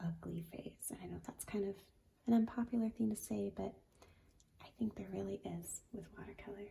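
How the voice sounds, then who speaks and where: A woman talks in a soft-spoken way. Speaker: watercolor artist. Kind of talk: tutorial. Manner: slow.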